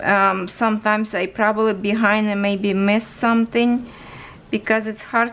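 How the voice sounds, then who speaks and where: A woman with a Ukrainian accent speaks at a fairly slow pace. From Ukraine. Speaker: crafts YouTuber. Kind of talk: casual vlog tutorial. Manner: halting, tripping over words.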